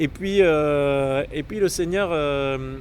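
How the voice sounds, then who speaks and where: This man's voice sits fairly high in pitch, and his intonation stays fairly even. Noticeable background noise runs behind him. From southern France, Marseille. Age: 30s. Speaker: Jesuit priest-to-be. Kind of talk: personal testimony. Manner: hesitant, many fillers.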